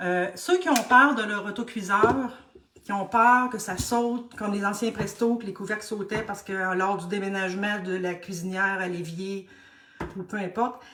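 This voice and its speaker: Speaking in a Quebec accent, a woman uses a medium-pitched voice with fairly even intonation. Her pace is moderate, and background noise is noticeable. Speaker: cooking instructor. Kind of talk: live tutorial. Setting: live stream.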